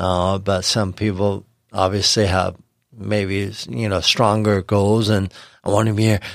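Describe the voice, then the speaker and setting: With an American accent, a man speaks slowly in a fairly low voice, monotone and flat, at very even loudness, on a very clean recording with a silent background. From Los Angeles, US. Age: 40s. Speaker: chef. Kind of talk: casual interview. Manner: halting, many fillers.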